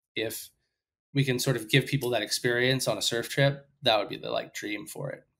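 Speaking at a fairly quick pace, a man uses a bright, sharp tone with fairly even intonation. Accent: American. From US South, Sarasota, Florida; Florida. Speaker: surf media editor and producer; guest. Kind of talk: casual interview. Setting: at home, remote call. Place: home room. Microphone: headset.

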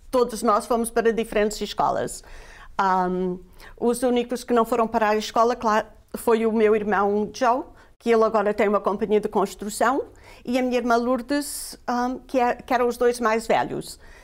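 At a moderate pace, a woman talks in a fairly high pitch with fairly even intonation and very even loudness over a quiet background. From Portugal (Guarda district village), emigrated to US at 11; Portugal. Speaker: immigrant guest sharing life story; guest. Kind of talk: interview, personal testimony. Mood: warm, reminiscing. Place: studio. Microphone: lapel.

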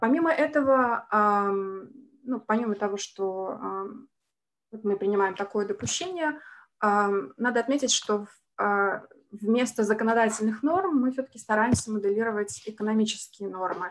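A woman talks at a moderate pace with a fairly high pitch. Her speech has long, frequent pauses, with light background noise behind it. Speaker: senior researcher. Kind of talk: academic presentation. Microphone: video call.

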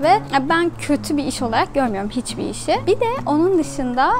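A woman at a moderate pace, over noticeable background noise. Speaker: travel vlogger. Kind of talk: casual vlog chat. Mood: relaxed, cheerful. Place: tent. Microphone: phone near.

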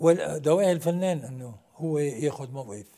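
Against a quiet background, a man speaks at a moderate pace with a dark, mellow tone. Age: 60s. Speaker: actor; actor, guest. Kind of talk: TV interview. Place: studio.

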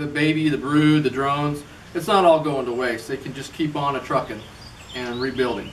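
Light background noise can be heard. Over it, a man talks. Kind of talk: tutorial. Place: garage. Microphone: camera far.

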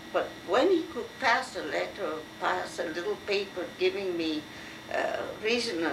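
Over noticeable background noise, a woman at medium pitch talks fairly slowly, her pitch swinging very widely. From France. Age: 70s. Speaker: university professor. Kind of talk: oral history interview. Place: home room. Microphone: old recording.

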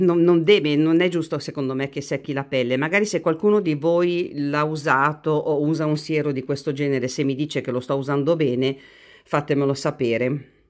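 A woman with a very deep, low pitch speaks with ordinary pitch variation against a quiet background. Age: 50s. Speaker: beauty youtuber. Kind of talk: product review vlog. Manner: hesitant, with fillers. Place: home room. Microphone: phone near.

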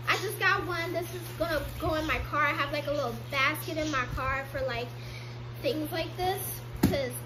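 Noticeable background noise sits under a woman's voice as she talks. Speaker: haul vlogger. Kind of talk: casual vlog chat. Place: home room. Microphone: phone near.

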